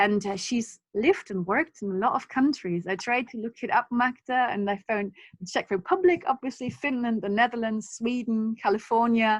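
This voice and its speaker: A woman's fairly high voice with a non-native accent, ordinary pitch variation and a moderate pace, in a dry, close sound with no echo over a quiet background. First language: not English. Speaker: workshop organizer and academic. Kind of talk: online seminar introduction. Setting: video call.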